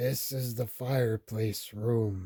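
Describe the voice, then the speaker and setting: A man puts on a character voice at a medium pitch. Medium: read story. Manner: quiet, gentle.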